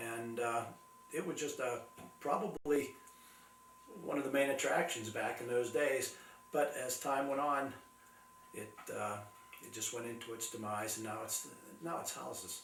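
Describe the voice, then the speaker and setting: A man's medium-pitched voice at a moderate pace, with ordinary pitch variation and long, frequent pauses, plus audible room echo and noticeable background noise. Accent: American. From western Pennsylvania, Ford City. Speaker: local historian and author. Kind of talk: interview. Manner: halting, many fillers.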